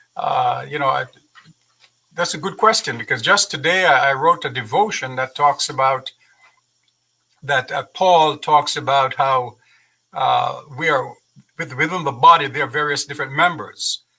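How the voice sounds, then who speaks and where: In a Jamaican accent, someone speaks at a moderate pace with long, frequent pauses. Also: man. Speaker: university president. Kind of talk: interview. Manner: halting, repeats words.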